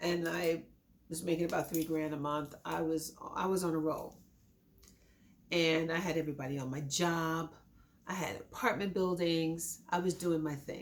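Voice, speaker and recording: Against noticeable background noise, a woman with a fairly low pitch speaks at a moderate pace, her intonation fairly even and her speech broken by long, frequent pauses. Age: 60s. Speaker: accident survivor. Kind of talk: testimony.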